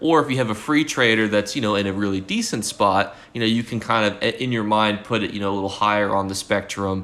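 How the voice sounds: The clip is read aloud. It is a natural reading voice.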